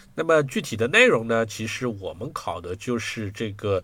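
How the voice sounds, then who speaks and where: A man's bright, sharp tone at medium pitch, with ordinary pitch variation. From China. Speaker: software engineer and technical translator. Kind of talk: casual interview chat. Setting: video call.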